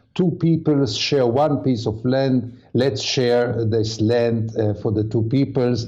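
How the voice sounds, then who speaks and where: The voice has a dark, mellow tone and moves at a fairly slow pace. Audible room echo surrounds it. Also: man. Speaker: journalist. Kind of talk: panel discussion.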